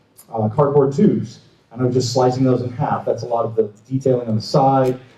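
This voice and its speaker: Audible room echo surrounds a man talking at a fairly quick pace. His voice sits at a medium pitch with fairly even intonation. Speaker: prop maker. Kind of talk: convention panel talk. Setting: stage with audience. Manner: mumbling.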